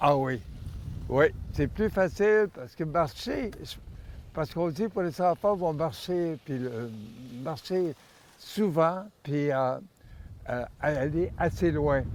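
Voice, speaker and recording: Pausing long and often, a man talks very slowly at a fairly high pitch. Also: lively intonation. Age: 80s+. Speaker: skier. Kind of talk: interview answer.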